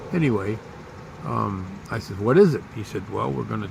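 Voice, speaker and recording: Over noticeable background noise and audible room echo, a man talks in a fairly low voice. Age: 60s. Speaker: vlogger. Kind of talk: personal storytelling.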